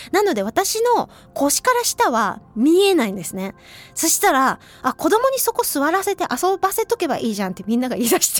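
A woman's extremely high voice, fairly quick, with very wide pitch swings and a dry, close sound with no echo. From Hiroshima, western Japan. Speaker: radio host and traditional flute player. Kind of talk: casual radio talk. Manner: chatty, lively.

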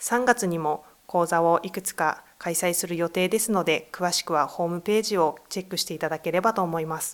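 A woman's plain, everyday voice, fairly low in pitch with ordinary pitch variation, fairly quick and with hardly any pauses, on a very clean recording with a silent background. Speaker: gender equality center staff. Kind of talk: interview. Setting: studio.

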